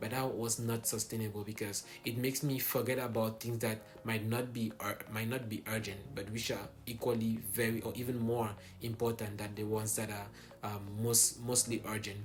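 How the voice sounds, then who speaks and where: A man with a French accent at a medium pitch, moderate pace and monotone, flat intonation, over noticeable background noise. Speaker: college student vlogger. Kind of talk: casual vlog. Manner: hesitant, many fillers.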